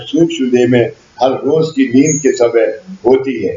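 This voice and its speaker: A man talks while noticeable noise sits behind him. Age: 80s+. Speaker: spiritual teacher. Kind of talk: spiritual discourse. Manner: repetitive.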